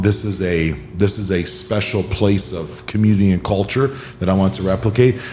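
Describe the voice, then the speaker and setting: A man speaks at a fairly low pitch, with audible room echo and noticeable background noise around him. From Hawaii. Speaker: podcast host, wellness coach. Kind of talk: podcast interview.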